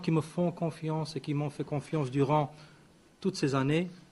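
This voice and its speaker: A man's fairly high, somewhat breathy voice, with fairly even intonation and a fairly slow pace. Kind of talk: press conference statement. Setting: press conference. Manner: hesitant, many fillers.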